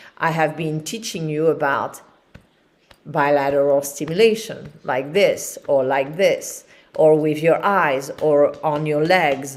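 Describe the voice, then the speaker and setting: Very slowly, a woman speaks at a very deep, low pitch with ordinary pitch variation. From France, Paris. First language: French. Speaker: qigong teacher. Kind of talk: live-streamed instructional class. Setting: livestream with chat. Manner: calm, relaxed.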